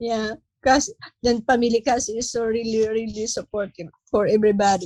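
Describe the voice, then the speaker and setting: A woman speaks with a somewhat breathy, fairly high voice at a moderate pace. The sound is dry and close with no echo. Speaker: human trafficking survivor. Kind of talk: testimony. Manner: halting.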